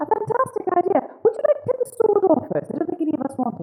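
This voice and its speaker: A put-on character voice, squeaky and at an extremely high pitch, with very wide pitch swings and a very fast pace. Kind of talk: theatrical fantasy roleplay. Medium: actual play. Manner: affected, breezy.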